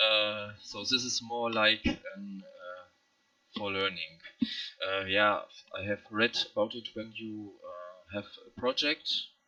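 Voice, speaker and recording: Very slowly, a man with a non-native accent speaks with long, frequent pauses and big swings in loudness. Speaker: hobby game developer. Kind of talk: screen-recorded project walkthrough. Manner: halting, many fillers.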